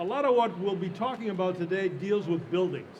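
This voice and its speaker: Loud speech with fairly even intonation comes through audible room echo and noticeable background noise. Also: man. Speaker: panel moderator. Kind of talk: panel discussion moderation. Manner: halting.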